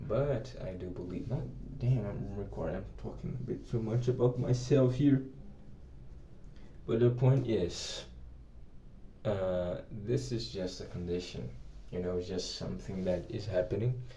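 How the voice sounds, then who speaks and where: A man speaks at a fairly slow pace with vocal fry, ordinary pitch variation, and long, frequent pauses, all in audible room echo. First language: Portuguese. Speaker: English teacher. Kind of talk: personal vlog. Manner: halting.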